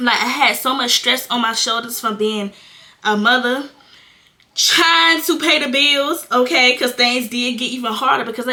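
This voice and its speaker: There is noticeable background noise as a woman talks at a high pitch. She keeps a moderate pace with ordinary pitch variation. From North Carolina. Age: 20s. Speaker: content creator, young mother. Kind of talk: casual talk to camera. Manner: candid, casual.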